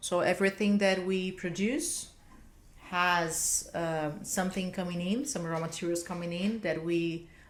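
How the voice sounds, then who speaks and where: At a fairly slow pace, a woman with a fairly low pitch speaks in a room with audible echo. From Brazil. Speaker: business executive. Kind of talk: interview.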